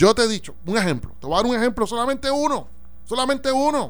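A man speaks with a Puerto Rican accent. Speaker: radio talk show host. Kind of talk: casual political discussion.

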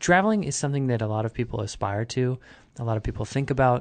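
Intonation is lively, in an American accent. The pace is very fast. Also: man. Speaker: podcast host. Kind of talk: casual interview. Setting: studio.

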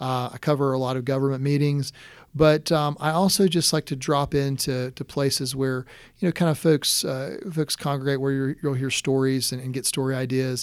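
On a very clean recording with a silent background, a man talks at a moderate pace in a fairly high pitch. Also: fairly even intonation. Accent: American. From South Carolina coast, Horry County. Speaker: newspaper editor. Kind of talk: interview. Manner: halting, many repetitions and fillers.

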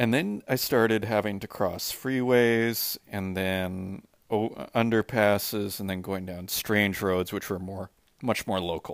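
With a Canadian accent, a man speaks fairly slowly at a fairly low pitch in an unremarkable speaking voice. His intonation is fairly even, and the recording is very clean with a silent background. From Saskatchewan, Canada. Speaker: artist. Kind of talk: spoken audio diary. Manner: casual, rambling with many fillers.

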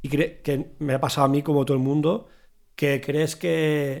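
In an ordinary speaking voice, a man talks at a fairly slow pace with a fairly high pitch. The recording is very clean, with a silent background. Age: 40s. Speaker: podcast host, drummer. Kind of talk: casual chat.

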